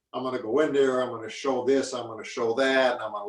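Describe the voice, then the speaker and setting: A man's voice at a medium pitch. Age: 60s. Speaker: retired mixed martial arts fighter. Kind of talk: interview. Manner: halting, many repeated words.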